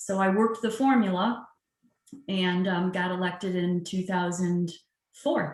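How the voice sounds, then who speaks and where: This woman speaks at a medium pitch and a moderate pace. Her pitch varies in an ordinary way. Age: 60s. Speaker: judge. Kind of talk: casual interview. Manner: hesitant fillers (um).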